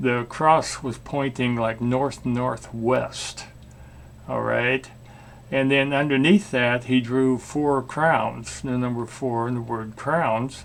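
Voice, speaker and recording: Noticeable background noise sits behind a man speaking at a very slow pace with a medium pitch and fairly even intonation. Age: 70s. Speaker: storyteller. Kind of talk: casual storytelling monologue. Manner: halting, many fillers.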